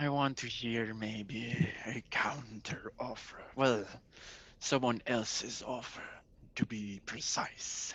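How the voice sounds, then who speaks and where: At a medium pitch, a man speaks in a put-on character voice. His pace is very slow. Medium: actual play. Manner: sly, bargaining.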